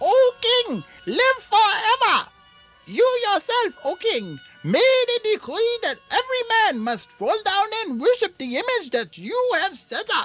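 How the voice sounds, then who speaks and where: Over faint background music, a cartoonish character voice talks at a fairly slow pace. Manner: fawning, sly.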